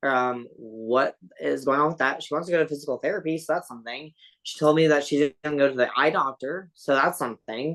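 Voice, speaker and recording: A woman speaks with a very deep, low pitch. Her pace is fairly quick, with ordinary pitch variation. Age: 30s. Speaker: interview guest sharing life story. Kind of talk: podcast interview. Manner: casual, many fillers.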